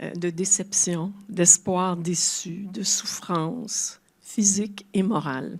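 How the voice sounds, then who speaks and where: The delivery is very slow, on a very clean recording with a silent background. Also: woman. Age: 70s. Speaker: retired translator and grief speaker. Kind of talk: public talk. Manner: halting.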